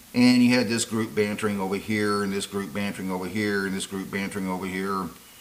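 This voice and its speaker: A man's fairly low voice at a very fast pace, fairly even in intonation, with audible room echo. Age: 60s. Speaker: YouTube commentator. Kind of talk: monologue to camera. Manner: halting, many fillers.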